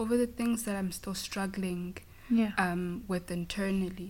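A somewhat breathy woman's voice of medium pitch, with a Zulu accent. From South Africa, KwaZulu-Natal. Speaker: auditor at an accounting firm. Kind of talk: interview conversation.

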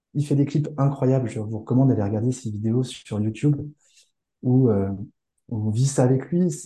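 At a moderate pace broken by long, frequent pauses, a man talks in a medium-pitched, somewhat breathy voice with a dark, mellow tone and ordinary pitch variation. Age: 40s. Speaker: school founder and entrepreneur. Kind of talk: casual interview.

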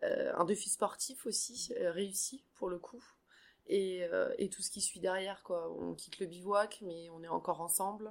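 A woman's fairly slow speech with big swings in loudness. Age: 40s. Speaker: trek participant, insurance agent. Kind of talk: casual interview. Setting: hotel. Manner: halting, repeats words.

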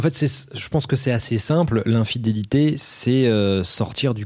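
The man has a normal speaking voice with ordinary pitch variation. He speaks at a fairly slow pace. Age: 30s. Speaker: film director, author and actor. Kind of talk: casual chat.

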